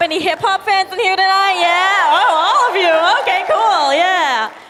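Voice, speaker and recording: A woman speaks in a raised, projected voice. Crowd noise fills the background. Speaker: stand-up comedian. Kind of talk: stand-up. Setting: stage with audience. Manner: hesitant, many fillers.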